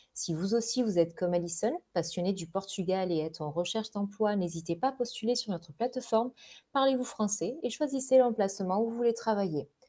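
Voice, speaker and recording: This woman has a dark, mellow tone and a medium pitch. She talks at a fairly quick pace with lively intonation. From southern France, Gard. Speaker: recruitment consultant, podcast host. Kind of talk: scripted presentation. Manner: formal.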